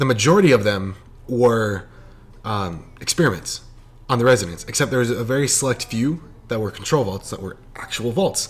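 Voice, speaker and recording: A somewhat breathy male voice at a moderate pace. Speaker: gaming youtuber. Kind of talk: unscripted casual commentary. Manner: rambling, halting with stumbles; animated.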